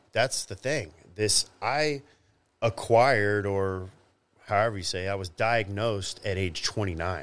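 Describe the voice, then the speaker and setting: At a fairly slow pace, a man with an American accent talks in a fairly low pitch with ordinary pitch variation. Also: very clean recording, silent background. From Texas, Dallas-Fort Worth area. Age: 40s. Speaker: former professional bodybuilder. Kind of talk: interview. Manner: halting.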